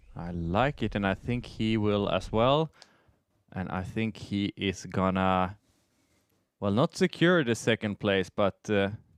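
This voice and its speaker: Fairly low-pitched male speech at a fairly slow pace with ordinary pitch variation, dry and close with no echo, on a very clean recording with a silent background. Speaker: disc golf commentator. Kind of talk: live commentary.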